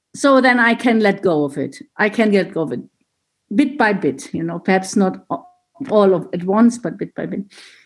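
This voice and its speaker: Over music in the background, a woman of medium pitch talks at a moderate pace with very wide pitch swings. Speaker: 12-step group member. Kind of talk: sharing in group. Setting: video call.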